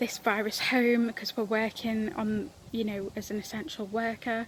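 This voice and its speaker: A woman with a fairly high pitch speaks at a moderate pace in a flat, monotone way over noticeable background noise. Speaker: palliative care worker giving a church devotional. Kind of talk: recorded devotional talk. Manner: halting, many fillers.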